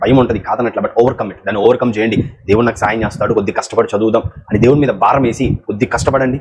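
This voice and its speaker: A man speaks at a medium pitch and with ordinary pitch variation as noticeable background noise carries on. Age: 20s. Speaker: preacher. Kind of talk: motivational talk to students. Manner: encouraging.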